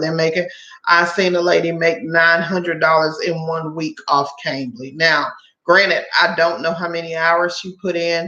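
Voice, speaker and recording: A woman's fairly low voice in an American accent, with fairly even intonation and audible room echo. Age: 40s. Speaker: online tutor and side-gig channel host. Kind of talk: live stream chat. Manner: casual, many filler words.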